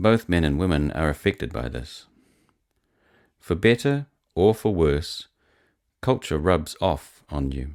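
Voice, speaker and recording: The speaker has an American accent and talks fairly slowly with very wide pitch swings, vocal fry and long, frequent pauses. The recording is very clean with a silent background. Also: man, very deep, low pitch for a man. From New Zealand. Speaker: blogger and psalm songwriter. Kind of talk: reading aloud.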